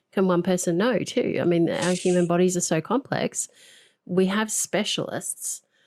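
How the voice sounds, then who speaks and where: A woman with a plain, everyday voice at medium pitch talks at a moderate pace with very even loudness, on a very clean recording with a silent background. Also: ordinary pitch variation, dry, close sound with no echo. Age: 40s. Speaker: podcast host and coach. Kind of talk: interview.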